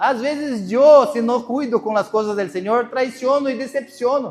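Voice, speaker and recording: A man talks at a moderate pace. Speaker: pastor. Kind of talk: sermon.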